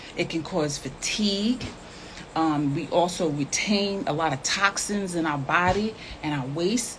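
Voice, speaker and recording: A woman's fairly low-pitched voice at a fairly slow pace, over noticeable background noise. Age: 60s. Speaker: health and nutrition promoter. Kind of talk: casual live chat. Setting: live stream.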